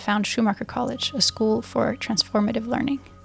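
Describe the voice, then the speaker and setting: Music plays in the background as a woman talks at a very fast pace with fairly even intonation. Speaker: podcast host. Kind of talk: podcast introduction.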